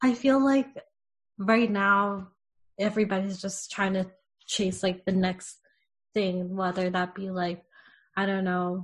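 Over a quiet background, a woman speaks at a fairly slow pace in a somewhat breathy, medium-pitched voice. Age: 30s. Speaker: spiritual podcast co-host and entrepreneur. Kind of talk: casual chat.

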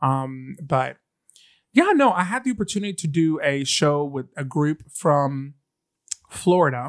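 Speaking at a fairly slow pace, a man uses an animated tone in a fairly high voice with ordinary pitch variation. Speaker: podcast co-host, drag performer. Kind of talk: casual chat.

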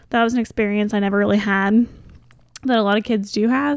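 A woman talks at a very fast pace. The recording is very clean with a silent background. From Kentucky, Goshen. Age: 20s. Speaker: podcast guest. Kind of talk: casual chat.

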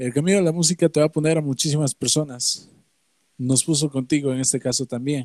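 A man with an ordinary speaking voice and a fairly high pitch speaks at a fairly quick pace in a dry, close recording with no echo. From Valles Centrales, Oaxaca, Mexico. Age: 20s. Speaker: musician. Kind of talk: interview.

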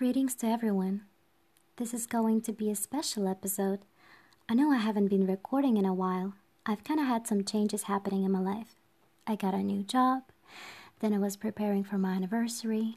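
A woman's somewhat breathy, medium-pitched voice with a dark, mellow tone, fairly even intonation and a fairly quick pace broken by long, frequent pauses, on a very clean recording with a silent background. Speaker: podcast host. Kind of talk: guided meditation.

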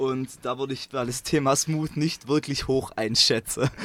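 A man at a medium pitch, with a strong Swabian accent. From Swabia, southern Germany. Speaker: engineering student and choir singer. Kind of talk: casual interview. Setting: in a parked bus.

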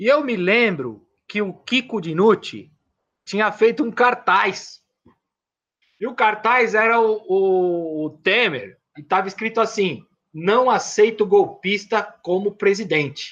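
A very slow pace against a quiet background. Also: man, high pitch for a man, ordinary pitch variation. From São Paulo, east zone. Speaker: independent filmmaker and poet. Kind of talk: casual interview storytelling. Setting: online live stream. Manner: halting, repeats words.

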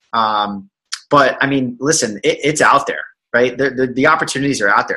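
A man talks with vocal fry and a bright, sharp tone. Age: 20s. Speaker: financial advisor and entrepreneur. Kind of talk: casual interview chat. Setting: video call. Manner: animated.

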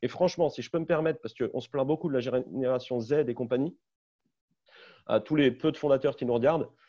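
Against a quiet background, a man with a dark, mellow tone and fairly high pitch talks at a fairly quick pace with fairly even intonation and long, frequent pauses. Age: 30s. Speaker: startup CEO. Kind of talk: webinar panel discussion.

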